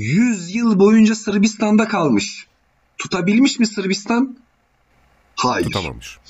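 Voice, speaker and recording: Speaking very slowly with long, frequent pauses, a man uses a high pitch and ordinary pitch variation. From Albanian family roots (Kosovo and southern Albania). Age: 20s. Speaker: mechanical engineer, guest speaking on Albanian history. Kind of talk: casual chat.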